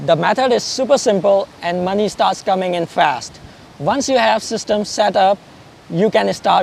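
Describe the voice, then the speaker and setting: Here a man speaks with a non-native accent. His pitch is high, with ordinary variation. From Pakistan. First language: not English. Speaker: affiliate marketer. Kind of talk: interview.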